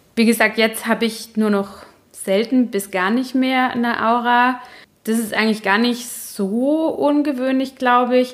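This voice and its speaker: Her high voice keeps a fairly even intonation. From Baden, southwestern Germany. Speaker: podcast host, journalist with migraine. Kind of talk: solo podcast monologue.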